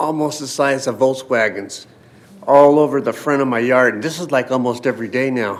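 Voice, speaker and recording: A man with a plain, everyday voice talks at a moderate pace and medium pitch, his intonation fairly even. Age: 60s. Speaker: public commenter. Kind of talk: public comment at council meeting.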